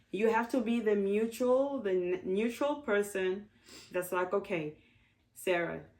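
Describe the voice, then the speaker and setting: At a fairly slow pace, a woman speaks at a medium pitch with ordinary pitch variation and very even loudness. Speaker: guest on a family advice talk show. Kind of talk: casual chat. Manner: loud when angry.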